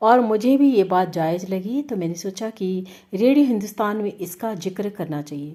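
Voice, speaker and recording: A woman with an ordinary speaking voice talks at medium pitch with lively intonation. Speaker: radio jockey. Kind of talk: radio-style commentary read to camera.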